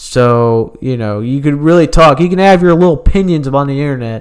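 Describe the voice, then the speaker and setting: Speaking at a moderate pace, a man with a medium pitch uses lively intonation. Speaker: comedian podcaster. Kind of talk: stand-up comedy. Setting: home-recorded podcast. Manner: brash, confrontational, crude; rambling, halting, self-interrupting.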